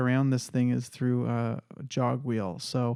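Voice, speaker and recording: A man with a dark, mellow tone at medium pitch, fairly even intonation and a moderate pace, against a quiet background. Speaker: youtuber reviewing audio gear. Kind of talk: casual product review. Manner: halting, repeats words.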